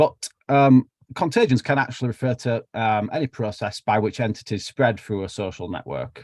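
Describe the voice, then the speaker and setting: A man speaks in a Yorkshire accent with ordinary pitch variation. The sound is dry and close, with no echo. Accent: broad Yorkshire. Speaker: biology researcher. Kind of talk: lecture. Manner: casual, with fillers.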